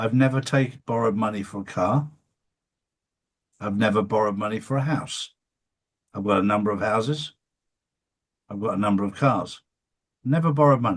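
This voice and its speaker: Against a quiet background, a man with an East Anglian accent talks at a fairly quick pace and a fairly low pitch, with ordinary pitch variation and long, frequent pauses. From England (Suffolk). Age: 60s. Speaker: show host. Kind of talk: interview.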